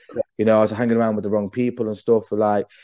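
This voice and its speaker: A man speaks with an East Midlands accent. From English Midlands (Derby). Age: 30s. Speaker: breakdancer and league organizer. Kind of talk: casual chat.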